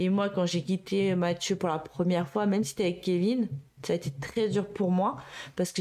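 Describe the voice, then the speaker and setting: At a moderate pace, a woman speaks in a dark, mellow tone at medium pitch with ordinary pitch variation. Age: 30s. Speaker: childcare worker and mother. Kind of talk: interview testimony. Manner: halting, many fillers.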